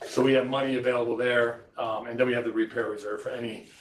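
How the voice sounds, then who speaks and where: Over noticeable background noise, a man of medium pitch speaks at a fairly quick pace. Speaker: school district finance official. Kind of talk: budget presentation at board meeting. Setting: school board meeting. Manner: fast.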